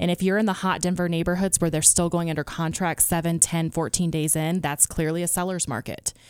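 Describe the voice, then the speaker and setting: A fairly quick, unremarkable speaking voice with an American accent, very even loudness, fairly even intonation and hardly any pauses. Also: woman, fairly low pitch for a woman. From US East Coast. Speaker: real estate agent. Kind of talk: radio interview, conversational. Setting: radio studio.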